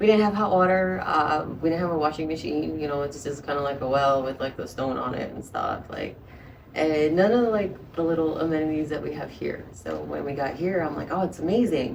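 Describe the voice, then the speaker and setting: Amid noticeable background noise and audible room echo, a woman with a very deep, low pitch speaks at a fairly quick pace. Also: ordinary pitch variation. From Colombia, Bogota. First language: Spanish. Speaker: fighter and model. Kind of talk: casual chat.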